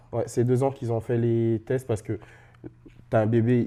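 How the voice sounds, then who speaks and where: The man's voice sits at medium pitch with a dark, mellow tone. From Central African Republic. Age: 30s. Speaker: interview guest with sickle cell disease. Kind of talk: casual interview. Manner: hesitant, many fillers.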